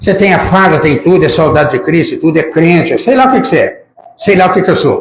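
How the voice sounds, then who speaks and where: His intonation lively, the man uses a high pitch. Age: 80s+. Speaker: preacher. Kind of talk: sermon. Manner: animated.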